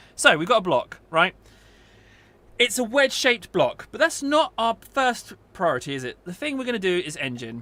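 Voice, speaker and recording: A man's raised, projected voice, high-pitched and bright and sharp, with very wide pitch swings and big swings in loudness. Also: moderate pace. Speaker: gaming youtuber. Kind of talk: gameplay tutorial. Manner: casual, chatty.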